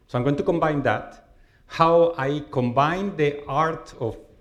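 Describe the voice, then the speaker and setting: A man's fairly high voice carries ordinary pitch variation at a moderate pace. Audible room echo surrounds it. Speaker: professor. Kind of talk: lecture. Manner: loud.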